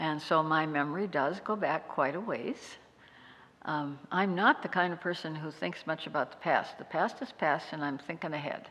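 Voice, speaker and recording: A woman with a very deep, low pitch speaks with an American accent at a moderate pace. Her pitch variation is ordinary, and her loudness swings widely. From North Dakota, US. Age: 80s+. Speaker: retired nurse and local historian. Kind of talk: interview, personal life story.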